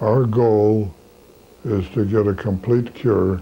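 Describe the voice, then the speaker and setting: A man talks with a dark, mellow tone. His pitch is fairly low and his intonation fairly even. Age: 80s+. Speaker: physician. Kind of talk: interview. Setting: medical office. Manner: halting, many filler uhs. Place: studio.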